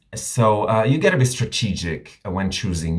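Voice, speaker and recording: A somewhat breathy man with a non-native accent speaks at a fairly low pitch. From Romania. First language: not English. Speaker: drag queen reviewer, YouTuber. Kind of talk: video review monologue. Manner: animated, casual.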